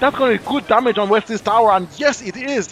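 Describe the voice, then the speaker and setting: Music sits in the background. The talking is fairly quick, with ordinary pitch variation. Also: man. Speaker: esports commentator. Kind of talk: live commentary. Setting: livestream. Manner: animated; fast.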